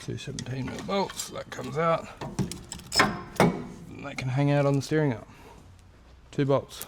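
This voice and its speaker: A man's fairly high voice at a fairly slow pace, with lively intonation and long, frequent pauses. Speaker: car mechanic vlogger. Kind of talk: workshop tutorial. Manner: soft-spoken.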